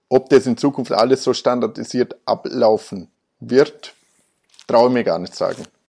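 In a dark, mellow tone, a man with a medium pitch speaks at a fairly slow pace with fairly even intonation. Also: dry, close sound with no echo. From Austria, Vorarlberg. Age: 30s. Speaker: car dealership managing director. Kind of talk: interview. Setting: office.

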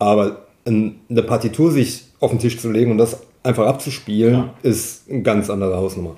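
A man's dark, mellow, somewhat breathy voice at medium pitch, with fairly even intonation, a moderate pace and big swings in loudness. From Saarland, Köllerbach. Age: 40s. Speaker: singer-songwriter and wheelchair salesman. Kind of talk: interview. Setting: living room at home.

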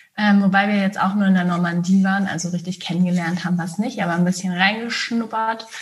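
A woman at medium pitch talks at a very fast pace with hardly any pauses and fairly even intonation, against noticeable background noise. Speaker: hypnosis coach and psychologist. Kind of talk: casual interview chat.

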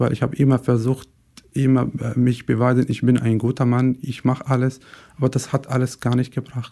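In a Syrian accent, a man speaks fairly quickly at a medium pitch, his dark, mellow tone held in a monotone, flat intonation. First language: Arabic (speaking German). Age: 20s. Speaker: podcast guest. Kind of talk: personal testimony. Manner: halting, searching for words.

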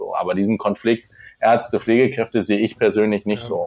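Here is a man with an ordinary speaking voice. He talks at a fairly quick pace in a medium pitch. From Lower Saxony, near Hildesheim. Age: 20s. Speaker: nursing trainee. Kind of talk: interview. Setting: remote call.

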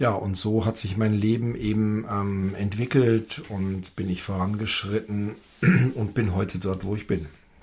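Fairly slow, somewhat breathy speech from a man with a fairly low pitch and fairly even intonation. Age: 50s. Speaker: father, host's husband. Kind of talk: casual chat. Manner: halting, with many fillers.

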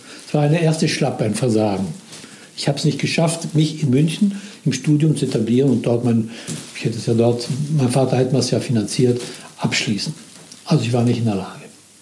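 A man at a fairly quick pace with long, frequent pauses, audible room echo and noticeable background noise. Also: medium pitch for a man, ordinary pitch variation. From Italy (Milan). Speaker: former business manager telling his life story. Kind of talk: personal testimony. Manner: halting.

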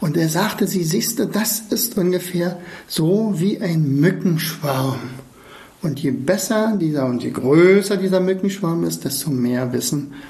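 A man talks very slowly amid noticeable background noise and audible room echo. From East Germany. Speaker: podcast host, learning coach. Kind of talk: casual monologue. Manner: halting.

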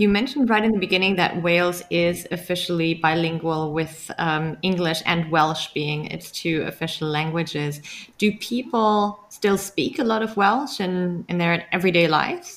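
A woman with a German accent, fairly low in pitch, with ordinary pitch variation and hardly any pauses. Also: moderate pace. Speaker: podcast host. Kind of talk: casual interview and podcast intro.

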